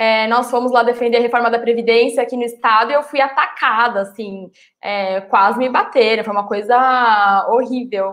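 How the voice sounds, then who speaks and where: With an ordinary speaking voice, a woman talks at a moderate pace and fairly high pitch, her intonation fairly even and hardly any pauses between words. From São Paulo, Brazil. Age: young. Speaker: political activist and city council pre-candidate. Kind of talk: live-streamed political panel chat. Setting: live stream.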